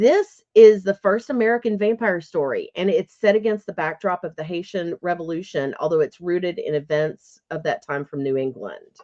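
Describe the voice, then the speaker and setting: Dry and close with no echo, a woman's dark, mellow voice sits at a fairly low pitch, with lively intonation, a moderate pace and hardly any pauses. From Kentucky. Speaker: podcast co-host and author. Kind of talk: casual chat.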